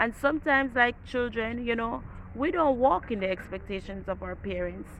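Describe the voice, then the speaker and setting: Speaking with an ordinary speaking voice, this woman keeps a moderate pace and a fairly high pitch that rises and falls in a normal way. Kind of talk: devotional talk. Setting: outdoors.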